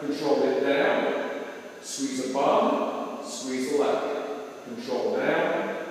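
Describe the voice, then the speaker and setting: A man speaks at a very slow pace. Strong room echo surrounds his voice. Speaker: fitness coach. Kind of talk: tutorial. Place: gym. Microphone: camera far.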